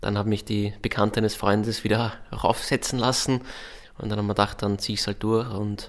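At a fairly quick pace, a man talks with a fairly low pitch. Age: 20s. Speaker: comedian. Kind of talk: interview. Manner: halting, many fillers; laconic.

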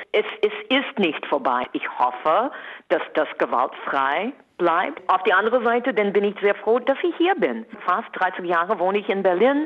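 A woman at a fairly slow pace, medium-pitched with very wide pitch swings, in an American accent. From USA. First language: English (speaking German). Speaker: entertainer. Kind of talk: radio interview. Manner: animated.

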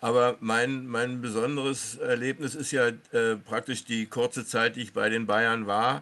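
At a fairly slow pace, a man speaks at a medium pitch with a bright, sharp tone and fairly even intonation. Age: 70s. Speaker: former professional footballer. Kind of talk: interview. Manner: halting.

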